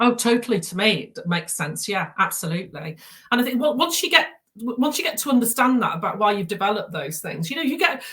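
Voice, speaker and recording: Her voice is fairly high-pitched with a bright, sharp tone, and the woman races along at a very fast pace with very wide pitch swings. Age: 60s. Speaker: therapy practitioner. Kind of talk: interview. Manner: halting, many repetitions.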